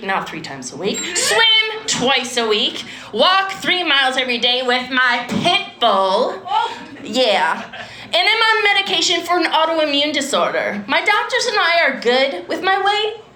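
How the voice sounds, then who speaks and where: A woman projects a raised, high-pitched voice at a fairly slow pace, her pitch swinging very widely, with audible room echo and noticeable background noise. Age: 50s. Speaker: comedian. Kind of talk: stand-up. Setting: stage with audience.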